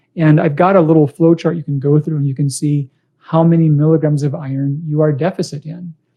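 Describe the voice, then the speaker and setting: Fairly quick and somewhat breathy, a man talks at a fairly high pitch. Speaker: doctor hosting live Q&A. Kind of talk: live stream Q&A. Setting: Facebook live video. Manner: fast; casual, friendly.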